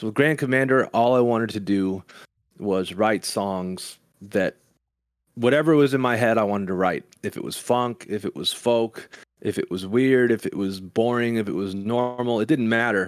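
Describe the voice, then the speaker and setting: A man with a plain, everyday voice speaks at a moderate pace, his medium pitch showing ordinary variation. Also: very clean recording, silent background. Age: 30s. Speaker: musician. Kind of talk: casual chat. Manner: calm.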